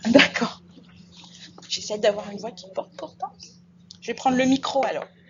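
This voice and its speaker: Amid noticeable background noise, a woman speaks at a moderate pace and high pitch with ordinary pitch variation and big swings in loudness. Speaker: nursing school instructor. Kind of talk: lecture.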